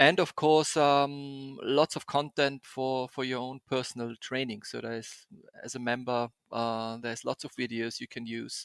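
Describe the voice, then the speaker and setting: A man with a German accent speaks at a moderate pace in a medium pitch, his intonation fairly even but his loudness swinging widely, recorded dry and close with no echo against a quiet background. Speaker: podcast host, experiential graphic designer. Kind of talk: interview podcast. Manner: halting, many fillers and repetitions.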